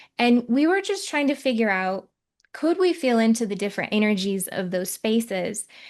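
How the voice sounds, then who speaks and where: This woman speaks in a Michigan accent at a moderate pace. Her pitch is fairly high, and the background is quiet. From Michigan, US. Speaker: psychic medium and podcast host. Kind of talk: casual podcast conversation.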